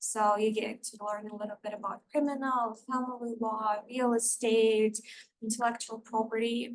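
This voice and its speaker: A woman with a Russian accent speaks in a flat monotone at a moderate pace and a fairly high pitch. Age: 20s. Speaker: paralegal. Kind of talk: presentation to student club.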